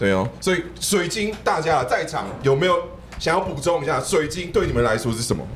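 A man talks at a fairly quick pace with a fairly high pitch. His pitch swings very widely, and background noise is noticeable. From Taiwan, Taoyuan. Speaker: live podcast panelist who sells plants online. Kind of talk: live podcast group chat. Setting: live event with audience. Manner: animated.

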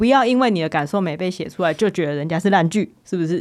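On a very clean recording with a silent background, a woman talks at a very fast pace with very wide pitch swings. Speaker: podcast host and screenwriter. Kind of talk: casual chat. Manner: animated.

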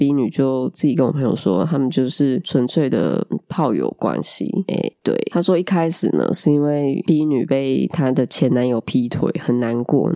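The speaker uses lively intonation at a fairly slow pace, and the sound is dry and close with no echo. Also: woman. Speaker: podcast host. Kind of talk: casual monologue chat. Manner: animated.

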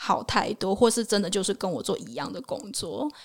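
A woman with a medium pitch uses lively intonation, and vocal fry runs through her voice. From Taiwan. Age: 20s. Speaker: working holiday traveler and travel blogger. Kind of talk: casual interview chat.

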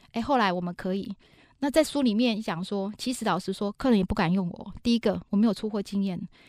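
Fast-paced and animated, a woman with medium pitch, an energetic tone and ordinary pitch variation speaks in a very clean recording with a silent background and a dry, close sound with no echo. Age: 40s. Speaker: business executive and author. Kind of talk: interview. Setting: studio. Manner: animated, energetic.

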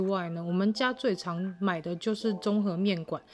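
A woman with a medium-pitched voice talks in an ordinary speaking voice. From Taiwan, Tainan (Wanli). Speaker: podcast host. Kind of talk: casual monologue.

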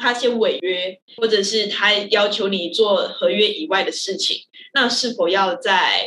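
A woman speaks very slowly with a Malaysian accent. Her pitch is fairly high. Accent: Malaysian-accented Mandarin. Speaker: theatre director. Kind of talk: casual chat.

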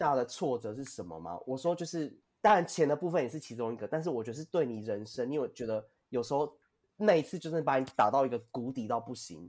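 With vocal fry, a man talks at a fairly quick pace, his voice showing very wide pitch swings and big swings in loudness. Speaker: podcast co-host. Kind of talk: interview. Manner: animated, laughing often.

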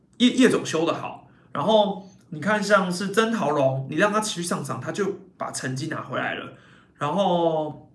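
A man speaks at a moderate pace in a high voice. Some room echo can be heard. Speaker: baseball podcast host and YouTuber. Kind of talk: casual live-stream commentary.

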